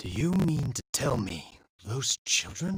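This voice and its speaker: A put-on character voice, raspy and low-to-middle in pitch, at a fairly slow pace. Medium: video game.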